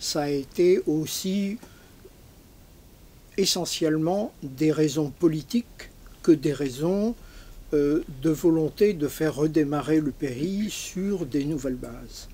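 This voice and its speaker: A man talks at a very slow pace with ordinary pitch variation. Long pauses come often. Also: fairly high pitch for a man. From Algeria (Algiers), left at 14. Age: 80s+. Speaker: audience member. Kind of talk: audience question at book talk.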